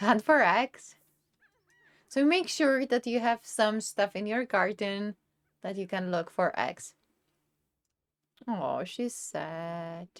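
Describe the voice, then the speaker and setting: Very slowly and with long, frequent pauses, a woman speaks in a Czech accent. Her intonation is lively, and the sound is dry and close with no echo. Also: medium pitch for a woman. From Czech Republic. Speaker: gaming YouTuber. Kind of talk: tutorial. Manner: casual, conversational.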